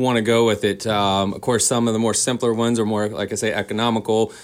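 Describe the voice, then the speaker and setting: A man talks in an ordinary speaking voice with an American accent. His pitch is medium and his pace moderate. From Boone, North Carolina. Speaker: garden center owner. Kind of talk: radio interview. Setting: studio.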